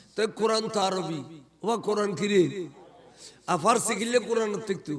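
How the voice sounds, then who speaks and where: A high-pitched man with ordinary pitch variation amid noticeable background noise. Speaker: Islamic preacher. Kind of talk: humorous Islamic sermon. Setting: PA system at live gathering. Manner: lively, animated.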